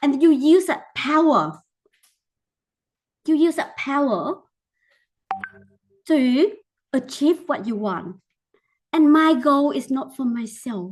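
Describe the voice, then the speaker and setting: Music plays in the background as a woman with a Vietnamese accent speaks very slowly in a high pitch, leaving long, frequent pauses. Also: lively intonation. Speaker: teacher. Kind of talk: mentoring talk.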